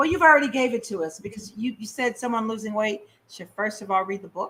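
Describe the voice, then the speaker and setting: A woman talks at a fairly quick pace in an unremarkable speaking voice. Her pitch sits fairly high, with ordinary pitch variation. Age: 60s. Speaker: radio host. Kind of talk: interview.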